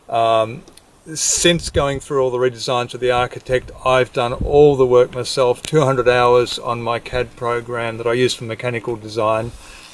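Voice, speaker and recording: Over noticeable background noise, a man with an Australian accent speaks at a moderate pace and medium pitch with monotone, flat intonation. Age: 50s. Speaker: industrial designer and home builder. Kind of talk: casual video diary.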